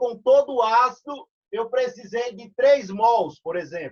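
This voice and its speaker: This man's voice sits extremely high in pitch, with ordinary variation. He speaks at a fairly slow pace. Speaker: chemistry teacher. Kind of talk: online lecture.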